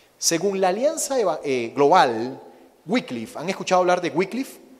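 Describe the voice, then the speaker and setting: With a Venezuelan accent, a man talks at a high pitch that makes very wide swings. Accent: Venezuelan accent, noticeable. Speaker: missionary preacher. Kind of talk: sermon.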